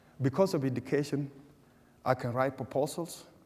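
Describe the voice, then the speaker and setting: A man's dark, mellow tone with a South Sudanese accent and ordinary pitch variation. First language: Dinka. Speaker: refugee speaker. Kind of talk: public talk with Q&A. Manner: halting, many repetitions.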